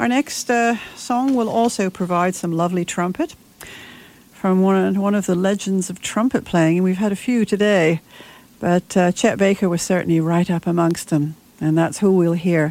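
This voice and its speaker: A woman speaks at medium pitch in an ordinary speaking voice. Her pitch varies in an ordinary way. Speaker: radio host. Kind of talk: radio DJ patter introducing vintage big band records. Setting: studio. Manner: warm, unhurried, polite and gently conversational.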